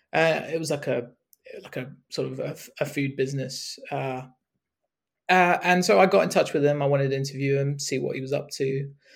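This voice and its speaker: Fairly quick and somewhat breathy, a man's voice comes through. His intonation is fairly even. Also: fairly high pitch for a man. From Hong Kong and UK. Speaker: cricket journalist. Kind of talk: podcast interview. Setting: remote call. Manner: halting, many fillers.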